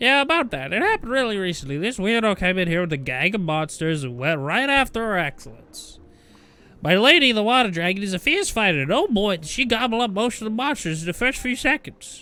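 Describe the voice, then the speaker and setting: Using a put-on character voice, a man speaks high for a man and at a fairly quick pace. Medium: game stream. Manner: unsettled, wavering pitch.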